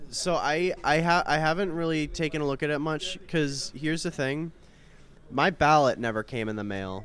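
At a moderate pace, a man with a normal speaking voice and a fairly high pitch talks with ordinary pitch variation. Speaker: podcast co-host, college student. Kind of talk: casual chat.

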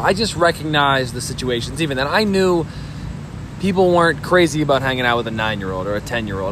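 A man at a very fast pace with lively intonation, amid audible room echo and noticeable background noise. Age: 20s. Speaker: tabletop baseball game player. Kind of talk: casual chat. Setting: at a convention.

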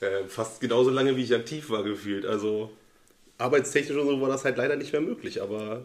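A man talks at a fairly quick pace in a medium pitch. He has an unremarkable speaking voice. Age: 30s. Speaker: friend, former club shooter. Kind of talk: casual interview chat.

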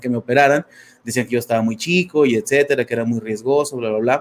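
A man with a medium pitch delivers fairly even intonation at a very fast pace. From Mexico, Torreón, Coahuila. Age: 30s. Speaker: life coach. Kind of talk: interview testimony. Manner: halting, many fillers.

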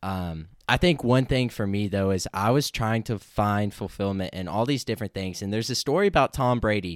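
A man with a plain, everyday voice talks at a fairly quick pace with hardly any pauses and ordinary pitch variation. The recording is very clean with a silent background, the sound dry and close with no echo. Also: fairly low pitch for a man. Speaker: college golfer. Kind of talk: testimony.

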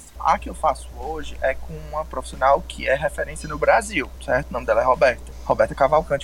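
The speech runs at a fairly quick pace with hardly any pauses and big swings in loudness. Noticeable background noise is present. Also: man. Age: 20s. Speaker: nutritionist in career change. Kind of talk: interview.

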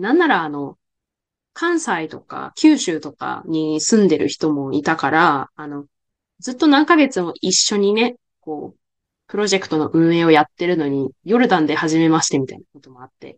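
This woman has an unremarkable speaking voice, fairly low in pitch, at a moderate pace. Her intonation is lively, with big swings in loudness. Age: 20s. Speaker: podcast host. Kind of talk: casual interview chat.

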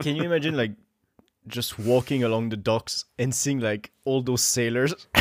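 The sound is dry and close, with no echo, as a man speaks at a moderate pace. He has a plain, everyday voice, medium in pitch with ordinary pitch variation. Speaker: podcast co-host. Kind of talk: casual chat.

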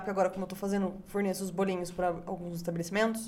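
Amid noticeable background noise and audible room echo, a woman speaks with a strong São Paulo interior accent. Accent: strong local Itu countryside. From Brazil, Itu (São Paulo interior). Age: 20s. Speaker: barbecue chef. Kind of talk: casual chat. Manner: animated.

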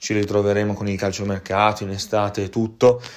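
This man's voice sits fairly low in pitch. He talks at a moderate pace. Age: 20s. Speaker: football podcast host and sports journalist. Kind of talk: personal reflection monologue. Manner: hesitant, many fillers.

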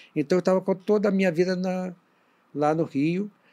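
A dark, mellow tone at a moderate pace on a very clean recording with a silent background. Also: man. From northwestern Rio de Janeiro state. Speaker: bishop. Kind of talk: interview on a church podcast. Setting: studio video livestream.

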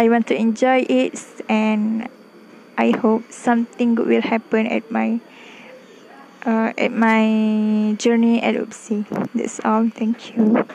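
A woman's fairly high voice in a Malaysian accent, very slow and flat in intonation, with long, frequent pauses, very even loudness and noticeable background noise. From Malaysia, Klang, Selangor. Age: 20s. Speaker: university student. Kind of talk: personal podcast monologue. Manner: halting.

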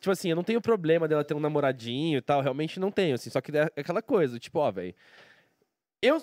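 With an unremarkable speaking voice, a man talks at a fairly quick pace and fairly high pitch, his intonation lively and the sound dry and close with no echo. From Brazil, Curitiba. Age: 30s. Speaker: professional poker player and streamer. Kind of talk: casual interview chat.

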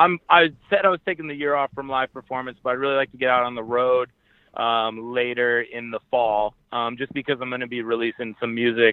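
Here a man speaks at a fairly quick pace in a plain, everyday voice. His pitch is medium, with ordinary pitch variation. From Maine, US. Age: 30s. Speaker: rapper and podcaster. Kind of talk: interview.

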